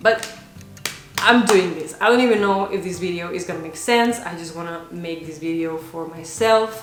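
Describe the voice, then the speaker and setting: Speaking at a moderate pace with a fairly low pitch and ordinary pitch variation, a woman shows big swings in loudness, with audible room echo and noticeable background noise. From Spain, Barcelona area (Catalonia). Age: 20s. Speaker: vlogger. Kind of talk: casual vlog talk.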